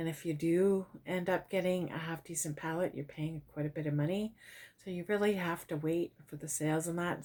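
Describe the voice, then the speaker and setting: A woman talks in a normal speaking voice at a moderate pace, fairly low in pitch with ordinary pitch variation. The recording is very clean, with a silent background. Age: 50s. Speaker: lifestyle vlogger. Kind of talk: product haul review. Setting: at home. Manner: casual, chatty with fillers.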